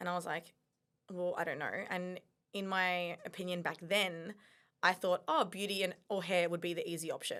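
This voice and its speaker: A woman with an Australian accent and a bright, sharp tone delivers monotone, flat speech at a moderate pace on a very clean recording with a silent background. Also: medium pitch for a woman. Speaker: mindset coach. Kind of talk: casual chat.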